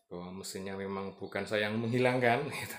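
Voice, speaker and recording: This soft-spoken man talks at a fairly quick pace, his fairly low voice keeping a fairly even intonation. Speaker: motorcycle vlogger. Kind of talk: casual vlog talk. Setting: at home. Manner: hesitant, many fillers.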